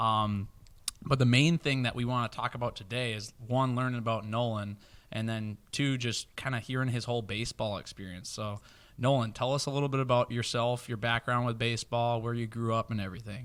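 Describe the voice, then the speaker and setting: A man talks at a fairly quick pace in a medium pitch with fairly even intonation. The recording is very clean, with a silent background. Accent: Minnesotan. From Minnesota. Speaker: podcast host. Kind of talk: casual chat.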